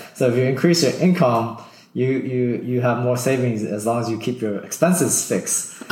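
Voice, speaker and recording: A man speaks fairly quickly amid audible room echo and noticeable background noise. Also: medium pitch for a man, ordinary pitch variation. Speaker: early retiree, former IT network engineer. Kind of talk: casual interview.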